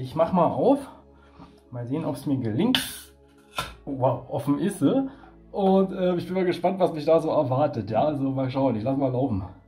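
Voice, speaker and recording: Faint music plays in the background as a man speaks at a moderate pace with long, frequent pauses. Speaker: beer reviewer. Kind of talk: casual vlog chat. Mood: cheerful, relaxed. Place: home room. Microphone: phone near.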